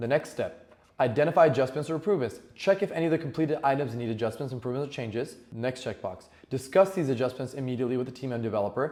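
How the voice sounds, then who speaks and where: At a very fast pace, a man speaks at a medium pitch in a dark, mellow tone. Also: ordinary pitch variation. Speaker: business owner giving tech tips. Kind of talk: tutorial. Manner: casual, with fillers.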